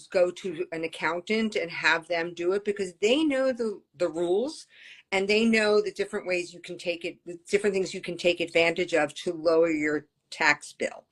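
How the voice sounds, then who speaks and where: A woman speaks in an unremarkable speaking voice at a moderate pace. Her pitch is medium, with ordinary pitch variation. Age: 60s. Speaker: ADHD coach. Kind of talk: casual chat.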